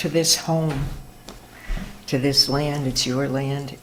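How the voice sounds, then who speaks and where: The woman's pitch is very deep and low. Audible room echo and noticeable background noise are present. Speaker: ceremony leader. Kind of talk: welcome address at community celebration. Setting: meditation hall with audience, PA system. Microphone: too quiet at first, mic turned up.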